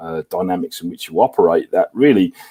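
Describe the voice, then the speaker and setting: Moving at a fairly quick tempo, a male speaker talks with a British accent. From Lancashire, northwest England. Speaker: business consultant. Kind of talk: panel discussion. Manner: halting.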